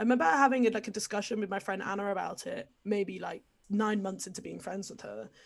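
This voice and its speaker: A woman in an English accent, very fast, with medium pitch, ordinary pitch variation, vocal fry and big swings in loudness. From England. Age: 20s. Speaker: podcast guest sharing coming-out story. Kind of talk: casual chat.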